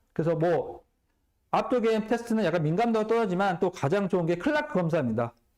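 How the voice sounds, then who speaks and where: Lively intonation at a fairly quick pace. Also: man. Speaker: physical therapy lecturer. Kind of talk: lecture. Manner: fast.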